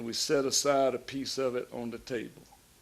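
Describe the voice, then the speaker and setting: A man's fairly high-pitched voice at a fairly slow pace, with a Southern US accent. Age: 70s. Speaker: pastor. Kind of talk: sermon-style talk. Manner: animated.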